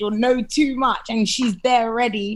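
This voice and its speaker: A woman with a high-pitched voice speaks in a strong London accent. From London, England. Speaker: TV and radio presenter. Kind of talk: podcast interview. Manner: animated.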